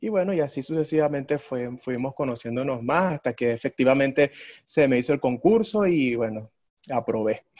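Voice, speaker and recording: A man's speech carries lively intonation, with a quiet background behind him. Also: moderate pace. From Venezuela, Ciudad Bolívar; Venezuela. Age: 20s. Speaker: orchestra violist; interviewee. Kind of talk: interview. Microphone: video call.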